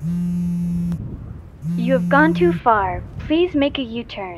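Someone does a put-on character voice at a very slow pace. Clear background noise runs behind it. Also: female-sounding voice. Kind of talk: GPS navigation prompt. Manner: flat, mechanical, repetitive.

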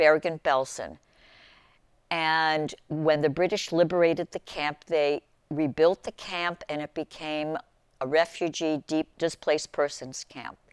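A woman speaks at a fairly slow pace with a very deep, low pitch and fairly even intonation. The sound is dry with no echo over a quiet background. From Germany. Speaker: TV show host. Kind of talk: interview introduction. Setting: studio. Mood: earnest, emotional. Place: studio. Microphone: lapel.

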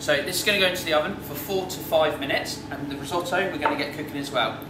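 Very fast male speech with fairly even intonation over noticeable background noise. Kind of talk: tutorial. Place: kitchen. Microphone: camera far.

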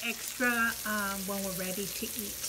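A woman speaks at a fairly slow pace, with noticeable background noise behind her. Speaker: mukbang vlogger. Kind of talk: casual vlog chat. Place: home room. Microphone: phone near.

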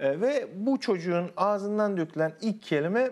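The speaker is a man. His pitch rises and falls across a very wide range. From Konya, Central Anatolia, Turkey; Turkey. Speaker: university linguistics lecturer. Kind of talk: TV interview, explanatory. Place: studio. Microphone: lapel.

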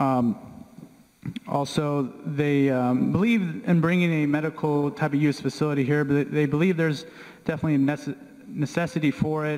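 Against a quiet background, a man speaks at a moderate pace with very even loudness and ordinary pitch variation. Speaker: town planner; presenter. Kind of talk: public meeting presentation. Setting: public meeting room. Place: meeting room.

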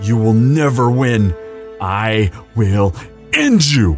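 Over clear music in the background, a man at medium pitch delivers a put-on character voice at a very slow pace. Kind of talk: audio roleplay. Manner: desperate.

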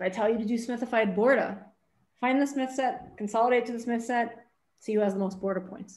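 A woman speaks at a fairly quick pace with a fairly high pitch over a quiet background. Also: fairly even intonation. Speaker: math professor. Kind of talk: lecture. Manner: fast. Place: home room. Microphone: webcam.

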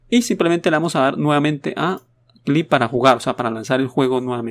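A man at a very fast pace, recorded dry and close with no echo, very clean with a silent background. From Latin America. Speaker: gaming YouTuber. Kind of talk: tutorial. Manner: casual, hesitant.

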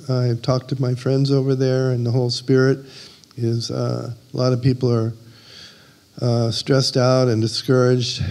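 A man's medium-pitched voice at a moderate pace, with monotone, flat intonation. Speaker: missionary. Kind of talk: prayer. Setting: church. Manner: halting. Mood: earnest, calm. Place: church. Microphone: handheld.

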